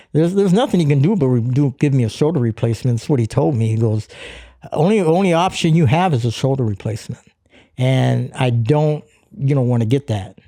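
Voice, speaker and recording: A medium-pitched man talks at a fairly quick pace with lively intonation. His tone is dark and mellow. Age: 60s. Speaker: fitness coach and podcast co-host. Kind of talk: casual chat. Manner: halting, with frequent repetitions.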